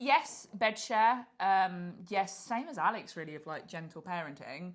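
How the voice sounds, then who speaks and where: Speaking in an English accent, a woman uses lively intonation at a medium pitch and a fairly slow pace, her loudness swinging widely. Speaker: podcast co-host. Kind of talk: casual chat.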